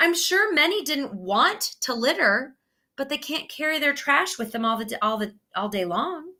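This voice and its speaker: In a very clean recording with a silent background, a woman with a strong American accent uses a raised, projected voice at a moderate pace, her high pitch swinging very widely and her tone bright and sharp. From United States. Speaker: student presenter. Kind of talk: presentation.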